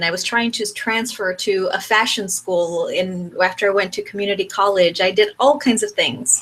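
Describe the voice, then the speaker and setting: The voice moves at a fairly slow pace with a bright, sharp tone. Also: woman. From Mexico. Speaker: brand coach. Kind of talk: online workshop lecture. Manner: conversational; teacherly.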